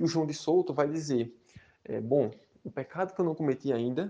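A man's fairly high voice has a dark, mellow tone and lively intonation. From Caruaru, Pernambuco, Brazil. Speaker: history podcaster. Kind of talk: solo history narration. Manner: halting, many fillers.

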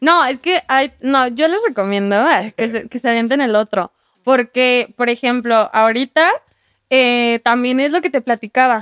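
Speaking at a fairly slow pace, a woman with a high pitch and ordinary pitch variation sounds dry and close, with no echo. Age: 20s. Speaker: adult content creator. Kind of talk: casual chat.

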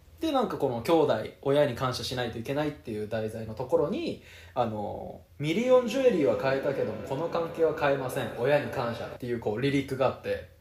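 A man talks at a fairly quick pace with a fairly high pitch, and noticeable background noise sits behind him. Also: ordinary pitch variation. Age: 20s. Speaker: podcast co-host. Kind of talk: casual chat.

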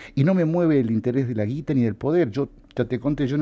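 The voice has a dark, mellow tone and ordinary pitch variation. It moves at a fairly quick pace over a quiet background. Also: man. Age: 50s. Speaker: political figure and former campaign adviser. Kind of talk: radio interview. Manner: halting.

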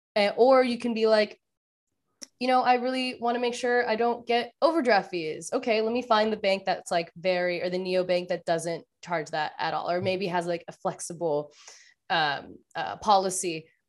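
A woman uses a normal speaking voice at medium pitch with lively intonation and a moderate pace. The recording is very clean, with a silent background. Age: 20s. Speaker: finance writer and content creator. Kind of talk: casual interview.

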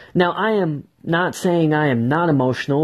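Lively intonation and an energetic tone mark this man's somewhat breathy voice. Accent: American. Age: 20s. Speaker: marketing entrepreneur. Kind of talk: solo podcast monologue.

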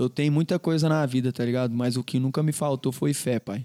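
A man's fairly high voice with a dark, mellow tone and ordinary pitch variation, in a dry, close sound with no echo on a very clean recording with a silent background. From Goiânia, Brazil. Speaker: funk singer. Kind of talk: casual chat.

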